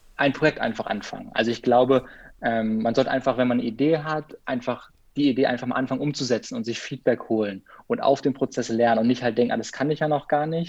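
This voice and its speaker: Against a quiet background, a man speaks at a very fast pace. His pitch is medium and his intonation fairly even. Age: 20s. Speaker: freelance biographer and photographer, former circus artist. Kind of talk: casual interview.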